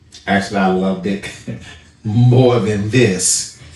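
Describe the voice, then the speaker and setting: Against noticeable background noise and audible room echo, a man speaks with fairly even intonation. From US South, Charlotte, North Carolina. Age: 60s. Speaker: barber. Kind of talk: interview.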